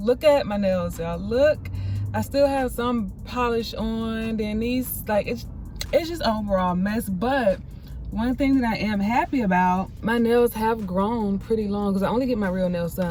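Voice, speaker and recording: There is noticeable background noise behind this woman. Her pitch is fairly high, with ordinary variation. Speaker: vlogger. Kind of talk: casual vlog chat. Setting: outdoors running errands.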